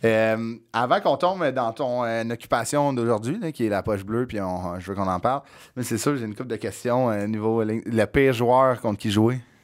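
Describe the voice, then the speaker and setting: A man's words move at a moderate pace with ordinary pitch variation, set against a quiet background. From Quebec. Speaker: podcast host. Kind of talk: casual chat. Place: studio. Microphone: studio mic.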